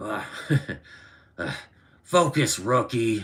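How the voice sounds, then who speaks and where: In a put-on character voice, a man growls in a booming, gruff, raspy tone at a medium pitch. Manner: growling, scolding.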